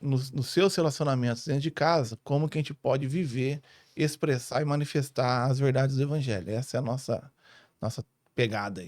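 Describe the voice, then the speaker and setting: In a very clean recording with a silent background and a dry, close sound with no echo, a man speaks at a moderate pace with a fairly high pitch and ordinary pitch variation. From born in Rio, ministry years in northern Paraná, Brazil. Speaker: family pastor. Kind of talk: podcast interview.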